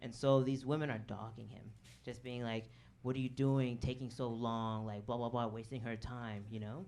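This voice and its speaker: A man with an American accent at a medium pitch, his intonation monotone and flat, with audible room echo. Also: moderate pace. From Chicago south suburbs. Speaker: comedian. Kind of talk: stand-up. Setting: stage with audience.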